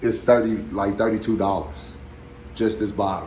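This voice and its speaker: There is audible room echo as a man speaks. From Arkansas. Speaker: dog breeder. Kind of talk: tutorial. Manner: casual, repetitive filler.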